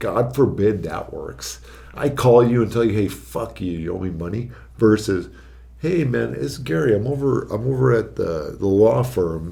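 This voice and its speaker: A man with an American accent, fairly low in pitch with a dark, mellow tone and vocal fry, very wide pitch swings, a moderate pace and audible room echo. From Arizona, Phoenix area. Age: 30s. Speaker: registered nurse. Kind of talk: casual podcast chat.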